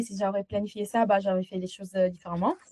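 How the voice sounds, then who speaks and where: A woman's medium-pitched voice with a slight Italian accent, dry and close with no echo. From Italy. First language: Italian (speaking French). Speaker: agency founder, client testimonial. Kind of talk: interview testimonial. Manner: halting, many hesitations.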